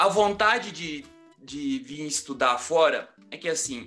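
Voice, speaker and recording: With music playing in the background, a man speaks very slowly in a high pitch with lively intonation. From Rio de Janeiro, Brazil. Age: 30s. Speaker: architect and construction project manager. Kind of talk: interview answer.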